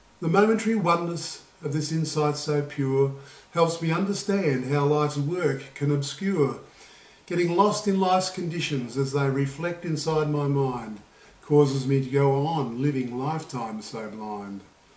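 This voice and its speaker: The speech moves at a moderate pace with ordinary pitch variation. Audible room echo is present. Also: man, fairly high pitch for a man. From Australia. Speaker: poet and Buddhist vlogger. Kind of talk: poetry reading, spoken word. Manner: calm, reflective, measured. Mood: calm, reflective. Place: home room. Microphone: camera far.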